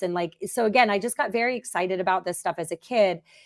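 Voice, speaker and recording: A woman with an American accent, an ordinary speaking voice, moderate pace and ordinary pitch variation. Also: very clean recording, silent background. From United States, farm upbringing. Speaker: agri-food-tech startup founder and CEO. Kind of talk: interview.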